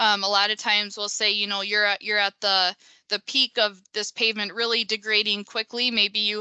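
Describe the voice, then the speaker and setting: Speaking at a moderate pace, a woman with a Minnesotan accent talks at a medium pitch. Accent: Minnesota. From US Midwest, Minnesota. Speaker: pavement engineer. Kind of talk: webinar presentation. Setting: online webinar.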